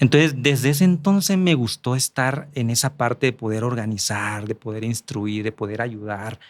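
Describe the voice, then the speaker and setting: The speaker keeps a moderate pace with lively intonation and hardly any pauses, on a very clean, dry, close recording with no echo and a silent background. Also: man, medium pitch for a man. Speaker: politician and journalist. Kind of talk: podcast interview.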